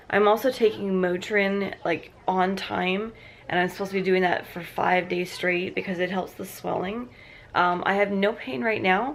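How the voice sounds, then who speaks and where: Over noticeable background noise, a woman speaks at medium pitch and a moderate pace with ordinary pitch variation. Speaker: vlogger. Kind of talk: casual vlog. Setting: in bed at home. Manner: halting.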